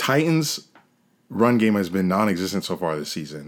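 With an American accent and an unremarkable speaking voice, a man talks at a moderate pace in a fairly low pitch with lively intonation, captured in a very clean recording with a silent background. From New York. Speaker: football podcast co-host. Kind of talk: casual chat.

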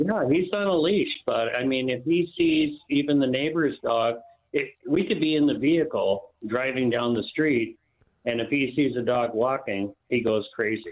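A normal speaking voice from a man with an American accent, fairly high in pitch, at a moderate pace with ordinary pitch variation. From Florida. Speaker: caller. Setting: phone call.

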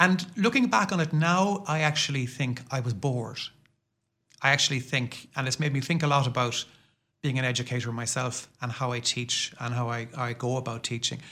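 A man speaks in a Limerick accent with a bright, sharp tone. His pace is moderate, his pitch medium, with ordinary variation. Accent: Limerick Irish. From Ireland, Limerick city. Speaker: professor. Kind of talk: casual interview. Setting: studio.

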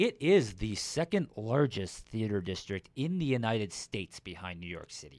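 In a very clean recording with a silent background, a man with an unremarkable speaking voice and an American accent talks at a moderate pace in a fairly low pitch. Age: 30s. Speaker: podcast co-host. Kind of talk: casual chat.

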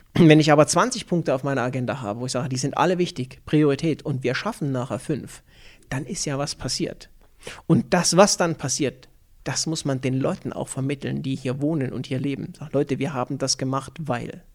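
A man speaks at a fairly quick pace in a normal speaking voice, with fairly high pitch and ordinary pitch variation. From Thuringia and Upper Franconia, Germany. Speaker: business manager. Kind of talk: interview.

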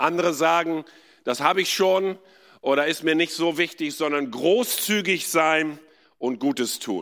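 A man with an ordinary speaking voice speaks at a fairly slow pace in a fairly high pitch, with ordinary pitch variation. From India. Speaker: pastor, guest preacher. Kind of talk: sermon. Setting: church with live audience.

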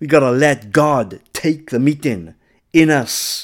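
In a very clean recording with a silent background, a man with a plain, everyday voice speaks fairly slowly at a medium pitch with ordinary pitch variation. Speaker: preacher. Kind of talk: fiery Pentecostal sermon with call-and-response exhortation. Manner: urgent, fervent, rising to a rousing closing blessing.

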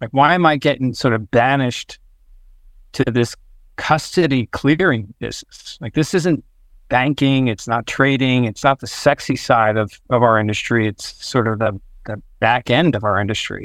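A man at medium pitch and moderate pace, ordinary pitch variation, dry and close with no echo. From New Jersey. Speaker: fintech executive. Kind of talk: interview. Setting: remote call. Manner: halting, many fillers.

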